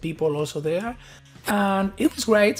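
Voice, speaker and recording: In an Argentine accent, a man talks at a moderate pace with lively intonation. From Argentina. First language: Spanish. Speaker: tech innovation lead. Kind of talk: conference talk.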